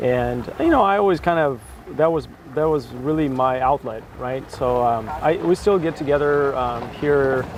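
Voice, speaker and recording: A man's fairly high voice moves at a moderate pace with ordinary pitch variation as noticeable background noise carries on behind him. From Russia. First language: Russian. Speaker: BI consultant. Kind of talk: casual interview. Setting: sit-down chat.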